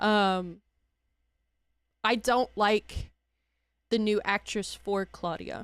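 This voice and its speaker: Speaking very slowly with long, frequent pauses, a woman with an American accent is heard on a very clean recording with a silent background. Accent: southern US, thick when angry. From US South. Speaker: streamer. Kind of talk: casual chat. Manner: animated.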